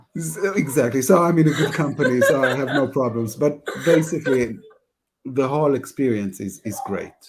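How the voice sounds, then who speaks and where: Using an Israeli accent, a man talks at a moderate pace with fairly high pitch and ordinary pitch variation. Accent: Hebrew. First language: Hebrew. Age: 40s. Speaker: customer success head. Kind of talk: panel discussion. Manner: halting, repetitive.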